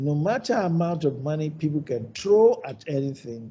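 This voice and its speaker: Audible room echo surrounds a man with a fairly high pitch. His voice is somewhat breathy, with lively intonation. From Nigeria. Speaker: ophthalmologist, hospital founder. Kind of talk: lecture.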